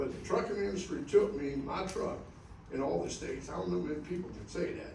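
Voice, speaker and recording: The speech moves at a moderate pace, with audible room echo. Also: man. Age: 70s. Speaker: truck driver, award honoree. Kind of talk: acceptance speech to an audience of drivers. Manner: halting, repetitive.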